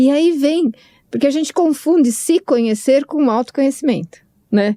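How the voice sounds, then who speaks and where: A woman with a high pitch and a dark, mellow tone speaks at a very even loudness. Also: ordinary pitch variation, moderate pace. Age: 60s. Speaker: podcast co-host. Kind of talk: casual chat. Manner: halting.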